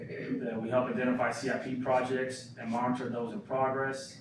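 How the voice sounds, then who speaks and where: Background noise is noticeable throughout. Over it, a man talks in a medium pitch. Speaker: job candidate for city manager. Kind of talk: job interview presentation. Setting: in-person meeting with audience. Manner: fast.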